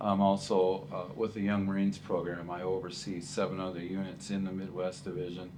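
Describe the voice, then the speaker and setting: Audible room echo surrounds a man with a very deep, low pitch and a dark, mellow tone. He talks at a fairly quick pace, his intonation fairly even. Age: 60s. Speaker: retiring school teacher. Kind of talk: interview. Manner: hesitant, many fillers and repeats.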